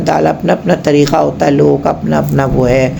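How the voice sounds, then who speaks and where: A woman speaks at a moderate pace, with noticeable background noise and audible room echo around her voice. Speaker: cooking channel host. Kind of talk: casual cooking vlog talk. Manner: chatty, conversational.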